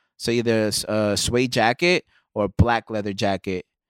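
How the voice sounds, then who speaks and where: A man talks in an ordinary speaking voice at a medium pitch with ordinary pitch variation. The sound is dry and close with no echo, in a very clean recording with a silent background. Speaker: podcast co-host. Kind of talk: casual chat. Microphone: too close to the mic.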